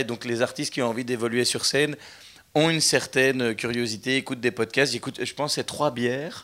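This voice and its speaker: Speaking with a Belgian accent, a man has a bright, sharp tone and fairly even intonation. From Belgium. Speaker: comedian. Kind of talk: live stage interview. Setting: stage with audience.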